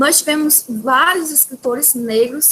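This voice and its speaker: The voice moves at a fairly slow pace with ordinary pitch variation, over noticeable background noise. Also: woman. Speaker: teacher. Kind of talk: lecture.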